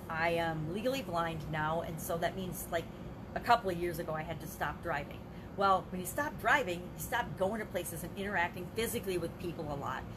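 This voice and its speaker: Noticeable background noise accompanies a woman whose fairly low pitch shows ordinary variation as she talks at a fairly quick pace. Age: 50s. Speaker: life coach. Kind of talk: live video monologue. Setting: livestream. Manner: casual, conversational. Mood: earnest, personal, encouraging. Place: home room. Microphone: webcam.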